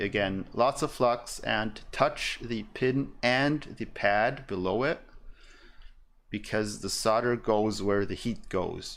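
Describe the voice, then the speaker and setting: A man talks at a very slow pace. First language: German. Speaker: electronics streamer. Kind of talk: live tutorial stream while soldering. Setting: live stream at workbench. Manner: casual, hesitant with fillers.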